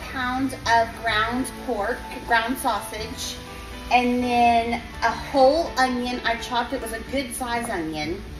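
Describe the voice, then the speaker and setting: A woman speaks in a high pitch at a very slow pace, with ordinary pitch variation. Clear music plays in the background. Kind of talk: cooking tutorial. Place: kitchen. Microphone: phone near.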